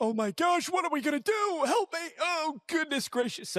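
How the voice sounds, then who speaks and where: A man keeps to a moderate pace in a put-on character voice pitched extremely high. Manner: panicked, exaggerated.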